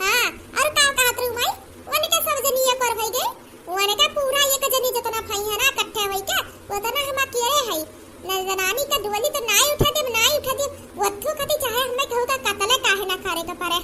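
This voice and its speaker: A woman uses a cartoonish character voice at an extremely high pitch. Light background noise can be heard. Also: moderate pace. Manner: shrill, aggressive.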